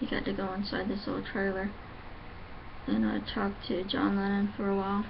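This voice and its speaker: A woman talks at a moderate pace with a medium pitch. Audible room echo surrounds her voice. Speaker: vlogger. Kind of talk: casual vlog monologue. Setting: at home. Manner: halting.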